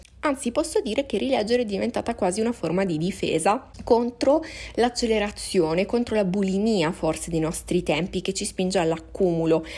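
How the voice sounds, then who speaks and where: A woman's medium-pitched, dark and mellow voice with vocal fry, lively intonation and a fairly quick pace. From Sicily, Catania. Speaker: book content creator. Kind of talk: podcast monologue about books. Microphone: worse audio, lacking equipment.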